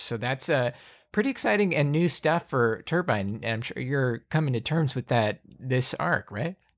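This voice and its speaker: A man's medium-pitched, ordinary speaking voice with an American accent, at a moderate pace and with ordinary pitch variation, in a very clean recording with a silent background. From US South, Alabama. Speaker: podcast host and game master. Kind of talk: game session setup, narrating story lore; casual chat.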